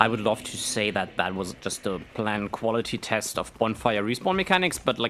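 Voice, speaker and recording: This man talks with lively intonation at a medium pitch, leaving hardly any pauses. Noticeable background noise runs under his voice. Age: adult, voice sounds younger. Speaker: gaming streamer. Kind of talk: gameplay commentary. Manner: hesitant, many fillers.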